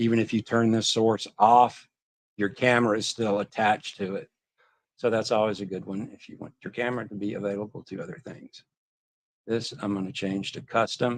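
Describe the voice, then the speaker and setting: Monotone, flat intonation at a fairly quick pace, with big swings in loudness. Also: man, fairly low pitch for a man. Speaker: tech show co-host. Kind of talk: tutorial. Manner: fast.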